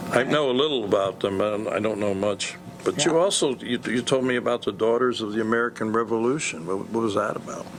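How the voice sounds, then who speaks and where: A man talks at a very fast pace with ordinary pitch variation against noticeable background noise. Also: medium pitch for a man, hardly any pauses. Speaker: show host. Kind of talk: interviewer.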